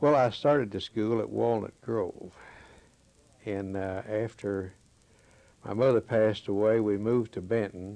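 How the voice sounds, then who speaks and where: A man's fairly low, dark, mellow voice with a Kentucky accent, fairly slow and fairly even in intonation, broken by long, frequent pauses. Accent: western Kentucky Southern US. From Kentucky, Marshall County. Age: 70s. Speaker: local resident interviewee. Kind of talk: oral history interview. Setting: his home.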